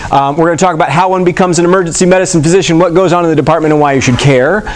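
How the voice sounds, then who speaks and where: Noticeable background noise and audible room echo surround this recording. A man speaks at a high pitch and a very fast pace. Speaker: emergency medicine physician. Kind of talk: lecture. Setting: stage with audience. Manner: casual, filler-heavy.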